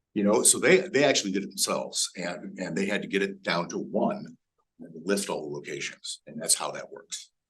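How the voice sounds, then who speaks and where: His loudness shifts in big swings. The man talks at a fairly quick pace. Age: 60s. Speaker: TV station digital marketing presenter. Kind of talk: workshop presentation with Q&A. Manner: halting, many fillers and restarts.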